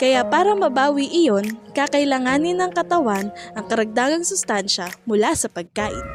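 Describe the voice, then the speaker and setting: Over music in the background, a woman talks in an upbeat tone at a fairly high pitch, her pitch swinging very widely. She keeps a moderate pace with hardly any pauses. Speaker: student. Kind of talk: scripted health infomercial.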